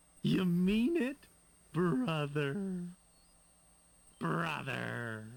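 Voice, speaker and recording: A man uses a put-on character voice with a fairly high pitch. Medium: video game. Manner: wheedling, martyred.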